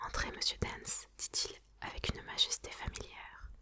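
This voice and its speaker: Whispering from a woman, fairly slow in pace, set against noticeable background noise. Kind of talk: audiobook reading. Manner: whispered.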